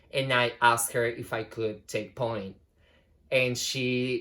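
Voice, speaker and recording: A man with a plain, everyday voice speaks at a medium pitch in a fairly even intonation, on a very clean recording with a silent background. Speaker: ballet dancer. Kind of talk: casual talk to camera.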